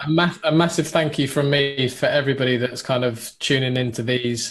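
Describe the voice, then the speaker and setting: A man with a British accent, fairly even intonation and a fairly quick pace. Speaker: web development course instructor. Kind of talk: live webinar chat. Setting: live video stream.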